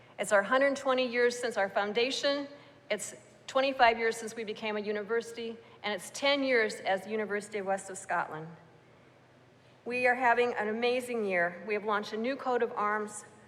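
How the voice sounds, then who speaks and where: Over audible room echo, a woman with an American accent talks fairly quickly at a fairly high pitch and with fairly even intonation. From US Midwest, Iowa. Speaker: university executive. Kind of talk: ceremonial speech. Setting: town hall with audience. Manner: formal.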